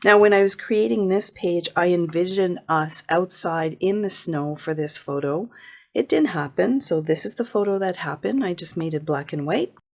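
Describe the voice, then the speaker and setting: Moderate pace and lively intonation from an unremarkable speaking voice. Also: woman, fairly low pitch for a woman. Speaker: paper crafting youtuber. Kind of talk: tutorial.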